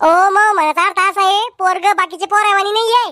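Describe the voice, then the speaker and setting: In a squeaky, cartoonish character voice, a woman speaks at an extremely high pitch and moderate pace, with fairly even intonation, very even loudness and a dry, close sound with no echo. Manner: wheedling, persuasive.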